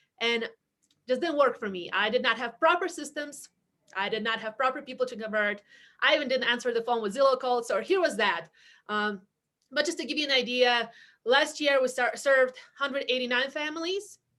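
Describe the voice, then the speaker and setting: A woman speaks in a raised, projected voice at a high pitch. Her tone is bright and sharp, and her pace is fairly quick. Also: ordinary pitch variation. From outside the US (immigrant). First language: not English. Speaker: real estate team leader. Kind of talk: webinar interview.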